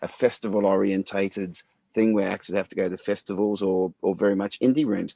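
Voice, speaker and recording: A man talks at a moderate pace in a fairly low pitch with a dark, mellow tone, the sound dry and close with no echo. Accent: Australian. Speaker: podcast host and musician. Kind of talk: casual chat.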